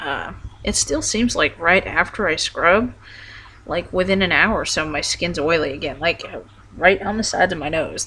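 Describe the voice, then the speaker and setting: The speech goes at a moderate pace. Background noise is noticeable. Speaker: transition vlogger. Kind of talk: casual personal vlog update. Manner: halting, many fillers.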